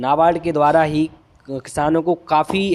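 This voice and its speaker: A man with a Bundelkhand accent speaks at a fairly high pitch. His intonation is monotone and flat. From Bundelkhand, India. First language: Bundeli (speaking Hindi). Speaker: agriculture exam tutor. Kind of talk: tutorial. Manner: halting.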